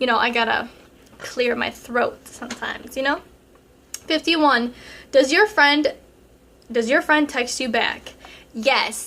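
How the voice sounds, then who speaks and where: A woman with a high pitch uses a raised, projected voice at a fairly slow pace, with ordinary pitch variation and long, frequent pauses. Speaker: relationship advice vlogger. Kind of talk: casual Q&A vlog. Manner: casual, many fillers.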